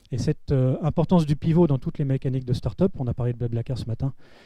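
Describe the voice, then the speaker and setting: Talking at a very fast pace, a man has a dark, mellow tone. His voice is somewhat breathy. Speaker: panel speaker on public digital innovation. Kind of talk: round-table talk. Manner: hesitant with filler words.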